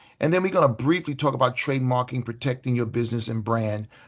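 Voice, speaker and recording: A man's somewhat breathy voice at a medium pitch and a very fast pace. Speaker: workshop presenter. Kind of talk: virtual workshop presentation. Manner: many fillers and false starts.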